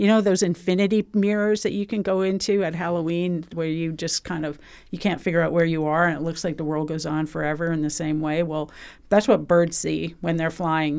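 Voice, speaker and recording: With a fairly low pitch and an unremarkable speaking voice, a woman talks at a fairly quick pace and with fairly even intonation. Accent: Canadian. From British Columbia, Canada. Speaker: museum bird researcher. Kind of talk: casual chat.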